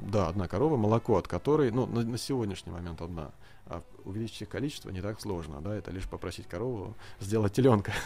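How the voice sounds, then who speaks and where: Speaking very fast, this man has a fairly low pitch and a dark, mellow tone. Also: lively intonation. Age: 30s. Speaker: farmer. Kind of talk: studio interview.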